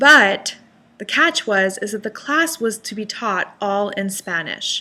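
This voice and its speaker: This woman has a bright, sharp tone and a fairly high pitch. Her pitch varies an ordinary amount. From Panama. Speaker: life coach. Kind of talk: motivational vlog talk to camera.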